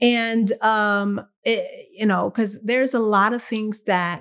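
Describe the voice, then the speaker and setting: Medium pitch from a woman, fairly even intonation, on a very clean recording with a silent background. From Texas. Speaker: podcast host. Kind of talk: casual solo monologue. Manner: rambling, informal with fillers.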